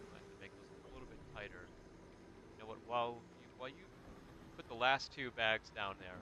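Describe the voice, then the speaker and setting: A man with an American accent, medium pitch and a bright, sharp tone, at a fairly quick pace with long, frequent pauses, big swings in loudness and fairly even intonation. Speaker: gaming streamer. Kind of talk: casual chat.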